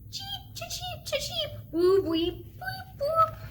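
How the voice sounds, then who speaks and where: In a squeaky, put-on character voice, a woman speaks at a very slow pace while clear background noise runs underneath. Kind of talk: preschool storytime sound effects. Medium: read story. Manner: chirpy nonsense cheeping.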